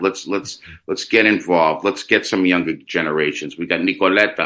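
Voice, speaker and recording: A man's bright, sharp tone with ordinary pitch variation, on a very clean recording with a silent background. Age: 60s. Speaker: radio host. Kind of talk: interview conversation.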